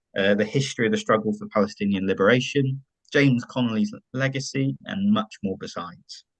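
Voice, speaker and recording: In a West Country accent, a man speaks at a moderate pace with ordinary pitch variation, the sound dry and close with no echo. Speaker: online event moderator. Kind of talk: event introduction. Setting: online forum.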